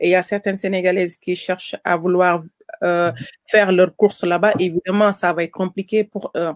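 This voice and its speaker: A woman talks at a medium pitch. Her intonation stays flat and monotone. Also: moderate pace. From Senegal. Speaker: caterer and farmer. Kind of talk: interview. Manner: halting.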